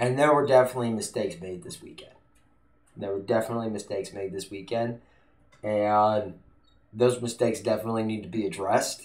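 A man races along at a very fast pace, his pitch varying in an ordinary way, with a quiet background behind him. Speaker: political vlogger. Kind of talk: casual vlog chat. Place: home room. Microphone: studio mic.

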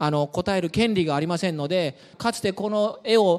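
A man's high-pitched voice with lively intonation. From Ehime, Japan. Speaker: university researcher giving a talk. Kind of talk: public science lecture. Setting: lecture room with audience. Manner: friendly, with many fillers. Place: hall. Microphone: handheld.

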